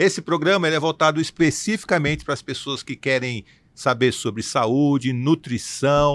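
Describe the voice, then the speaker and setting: A normal speaking voice from a man, fairly high in pitch, with ordinary pitch variation and a moderate pace, on a very clean recording with a silent background. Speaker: podcast host; works in communication and television. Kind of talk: podcast introduction.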